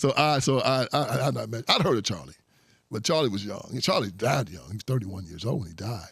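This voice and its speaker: A man with vocal fry talks at a very fast pace in an animated tone, his medium pitch moving in very wide swings. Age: 60s. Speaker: conservative activist and author. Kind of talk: interview.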